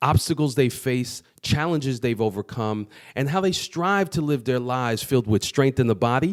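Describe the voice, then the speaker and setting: Over a silent background in a very clean recording, a plain, everyday voice moves at a moderate pace with lively intonation and hardly any pauses. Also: man, medium pitch for a man. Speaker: podcast host. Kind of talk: show intro to camera.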